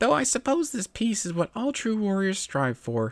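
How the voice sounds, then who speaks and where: A put-on character voice comes at a moderate pace in a very clean recording with a silent background. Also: man, high pitch for a man. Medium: read story. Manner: chirpy, overeager.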